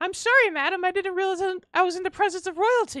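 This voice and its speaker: A squeaky, put-on character voice from a woman, extremely high in pitch and very fast in pace. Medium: actual play. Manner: polite, formal.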